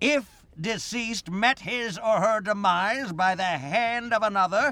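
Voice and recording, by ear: A man uses a cartoonish character voice, high in pitch with a bright, sharp tone. He speaks at a fairly slow pace with ordinary pitch variation.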